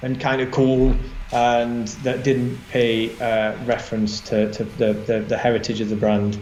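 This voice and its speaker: Over noticeable background noise and audible room echo, a man speaks in a Yorkshire accent. His pace is fairly slow and his intonation fairly even. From northern England, Barnsley, South Yorkshire. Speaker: designer, creative director. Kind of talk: interview chat. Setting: live online session. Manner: halting, many fillers.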